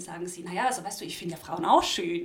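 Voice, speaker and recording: A woman with a medium-pitched voice is heard with audible room echo and noticeable background noise. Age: 20s. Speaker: student and LGBTQ youth activist. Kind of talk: casual interview conversation.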